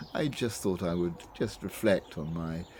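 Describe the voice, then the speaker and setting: A man with a British accent speaks at a moderate pace in a very deep, dark, mellow voice, with ordinary pitch variation. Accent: BBC English (Received Pronunciation). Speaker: reflective video host. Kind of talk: personal reflection. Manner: halting, many fillers and repetitions.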